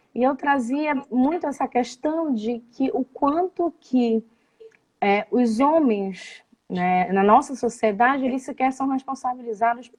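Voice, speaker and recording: A woman with a Belém accent talks at a very slow pace. Her intonation is lively. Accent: Belém (Pará) accent, noticeable. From Belém do Pará, northern Brazil. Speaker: psychoanalyst, live show host. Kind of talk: live interview conversation. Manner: halting, many fillers.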